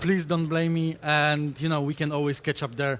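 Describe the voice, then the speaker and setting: A man speaks with a Polish accent. His pace is moderate. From Poland. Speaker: conference speaker, SEO specialist. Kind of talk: conference talk. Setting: stage with audience.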